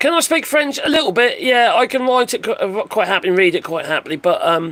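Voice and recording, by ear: The voice is husky with a fairly bright tone. It moves at a fast pace. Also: man, high pitch for a man, ordinary pitch variation.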